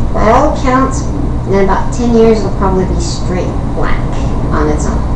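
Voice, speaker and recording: A woman speaks while loud noise fills the background. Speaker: YouTube vlogger. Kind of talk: casual vlog storytelling. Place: home room. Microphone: webcam.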